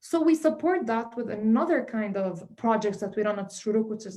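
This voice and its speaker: Somewhat breathy and dark, mellow in tone, this voice moves at a fairly quick pace with lively intonation. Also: woman. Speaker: community arts organization representative. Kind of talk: event speech. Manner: fast; halting with many fillers.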